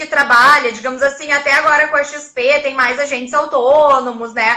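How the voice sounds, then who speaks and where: With a Porto Alegre accent, a woman projects a raised, high-pitched voice that has a bright, sharp tone. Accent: southern Brazilian (Porto Alegre). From Porto Alegre, southern Brazil. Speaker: investment content creator. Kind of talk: casual chat. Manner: sing-song intonation.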